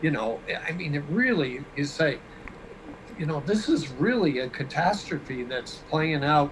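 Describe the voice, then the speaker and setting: There is noticeable background noise as a man speaks at a fairly high pitch. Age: 60s. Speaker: guest. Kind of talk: casual interview chat. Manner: halting, many fillers.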